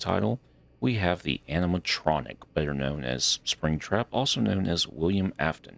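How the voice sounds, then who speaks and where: A man's voice with vocal fry and lively intonation. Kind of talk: casual gameplay commentary. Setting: home microphone.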